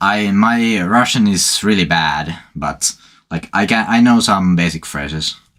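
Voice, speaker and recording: A man with a Finnish accent, fairly low-pitched, fairly slow, with ordinary pitch variation. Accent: Finnish accent, clearly audible. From Finland. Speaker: gaming streamer. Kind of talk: casual chat. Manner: halting.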